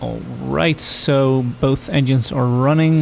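A man at a very slow pace and medium pitch, ordinary pitch variation, noticeable background noise. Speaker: gaming video creator. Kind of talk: gameplay commentary. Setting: home recording over game audio. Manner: hesitant, many fillers; slurred speech at times.

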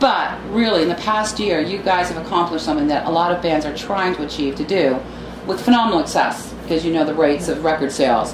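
A woman's fairly low voice over noticeable background noise. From Canada. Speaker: music interviewer. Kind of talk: casual interview. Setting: outdoors at music festival. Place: home room.

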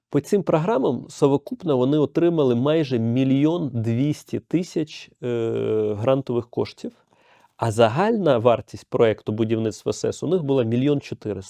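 Against a quiet background, a man with a dark, mellow tone uses lively intonation and big swings in loudness, the sound dry and close with no echo. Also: medium pitch for a man, fairly slow pace. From Ukraine, Kyiv. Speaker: head of a homeowners' association. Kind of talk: podcast interview. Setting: studio.

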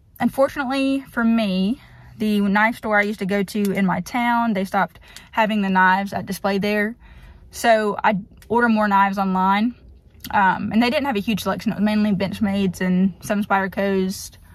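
A somewhat breathy woman speaks at a moderate pace with fairly even intonation. The sound is dry with no echo, and the background is quiet. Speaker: vlogger. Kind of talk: casual vlog chat. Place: car. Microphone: phone near.

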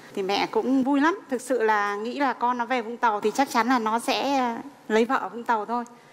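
A woman's voice moves at a fairly quick clip, her pitch rising and falling in an ordinary way, with a little noise behind her. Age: 40s. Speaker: mother-in-law on a family talk show; guest. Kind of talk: TV talk show interview. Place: studio. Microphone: headset.

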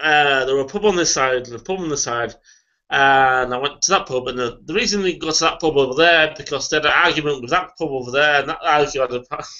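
A man with a fairly high pitch talks at a very fast pace with ordinary pitch variation over a quiet background. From Yorkshire. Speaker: beer reviewer. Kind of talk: casual chat. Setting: video call. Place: home room. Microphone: webcam.

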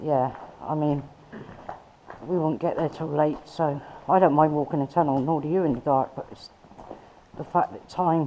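Over light background noise, a woman with a very deep, low voice speaks at a moderate pace with fairly even intonation and long, frequent pauses. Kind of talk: casual vlog chat. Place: tunnel cave. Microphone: phone near.

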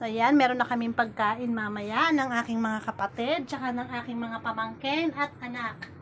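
Against noticeable background noise, a woman with a fairly high pitch talks with fairly even intonation and hardly any pauses. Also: moderate pace. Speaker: vlogger. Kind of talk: casual vlog.

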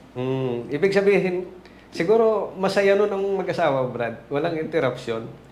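Against noticeable background noise and audible room echo, a man with a high pitch speaks at a moderate pace with lively intonation. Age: old. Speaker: interviewer. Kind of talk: interview.

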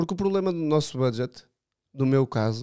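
A man speaks at a moderate pace with a fairly high pitch and a dark, mellow tone. The background is quiet. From Portugal. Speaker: drift racing driver; podcast guest. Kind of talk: casual chat. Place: studio. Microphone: studio mic.

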